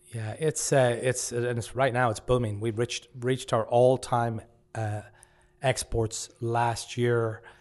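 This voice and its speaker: In a western Irish accent, a man talks at medium pitch with a monotone, flat intonation. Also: fairly slow pace. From West of Ireland, rural. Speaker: pub owner. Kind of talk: casual interview chat. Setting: studio.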